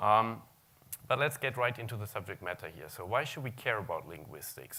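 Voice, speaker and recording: This voice carries a German accent and a bright, sharp tone. Its pitch variation is ordinary. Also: man. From Germany. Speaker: search technology consultant. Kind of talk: conference talk.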